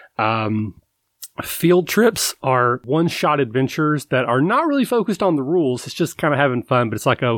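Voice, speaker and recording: A man with a Kentucky accent talks at a fairly quick pace. The recording is very clean, with a silent background. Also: dry, close sound with no echo. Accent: Kentucky Southern American. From US South, Kentucky. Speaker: tabletop RPG podcaster. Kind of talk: casual interview chat. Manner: halting, with repeated words.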